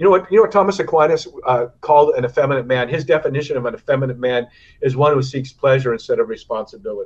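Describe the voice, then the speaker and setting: Speaking at a very fast pace, a man with an American accent sounds somewhat breathy. His fairly high voice has lively intonation. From US West Coast. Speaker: retired professional surfer. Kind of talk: interview. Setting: remote call.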